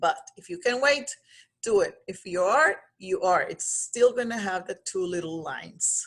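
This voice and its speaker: A woman talks at a very slow pace with a Spanish accent. Her intonation is lively. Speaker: pregnancy coach. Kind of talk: vlog monologue. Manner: halting.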